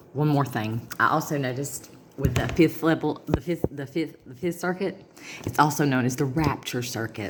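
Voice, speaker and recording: A woman with a Southern US accent and a very deep, low pitch, ordinary pitch variation, big swings in loudness, and noticeable background noise. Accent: Southern US drawl. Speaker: vlogger. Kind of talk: casual monologue to camera. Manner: fast.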